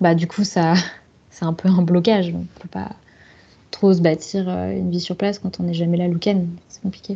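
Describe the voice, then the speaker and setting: Somewhat breathy and dark, mellow in tone, a woman speaks at a fairly low pitch. She keeps a moderate pace with flat, monotone intonation. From south-west France, Bordeaux. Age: 30s. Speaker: lawyer, expat. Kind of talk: interview testimony.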